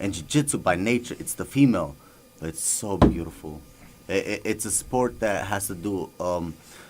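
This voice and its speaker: Over noticeable background noise, a man with an Albanian accent speaks at a moderate pace with a fairly low pitch and lively intonation. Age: 30s. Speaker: professional MMA fighter and war veteran. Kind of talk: radio interview. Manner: halting, many fillers.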